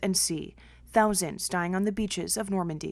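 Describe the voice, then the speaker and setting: A woman with an unremarkable speaking voice talks at a fairly quick pace. Her intonation is fairly even over a quiet background. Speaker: TV news reporter. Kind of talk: TV news report.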